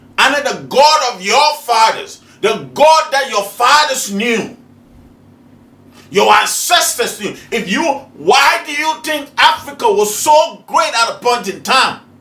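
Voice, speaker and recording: A man with an extremely high pitch projects a raised voice at a fairly slow pace. His tone is animated and his intonation lively. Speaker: spiritual teacher, video host. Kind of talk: preaching monologue. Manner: animated, rhetorical questioning.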